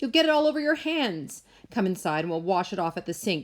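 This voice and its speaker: A woman's put-on character voice, shrill and medium-pitched, at a fairly quick pace with very wide pitch swings. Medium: read story.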